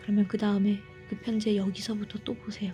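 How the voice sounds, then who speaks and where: Someone talks at a moderate pace while music plays in the background. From Korea.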